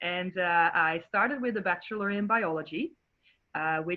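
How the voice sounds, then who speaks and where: A woman with a Dutch accent, fairly low-pitched with ordinary pitch variation, at a moderate pace. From Netherlands. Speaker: marine biologist. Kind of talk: educational presentation.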